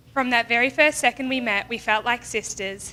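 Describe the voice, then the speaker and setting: An Australian accent marks this woman's fairly high-pitched voice with its bright, sharp tone. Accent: Australian, noticeable. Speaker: bride's friend giving a wedding speech. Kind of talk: wedding toast speech. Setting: wedding reception with audience.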